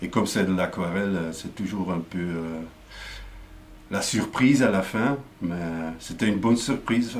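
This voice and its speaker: With a Flemish accent, a man speaks at a very deep, low pitch and a fairly slow pace, with audible room echo. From Flanders, Belgium. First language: Dutch (speaking French). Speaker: comic book artist. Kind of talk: explanatory talk. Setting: studio. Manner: halting, many fillers and repetitions.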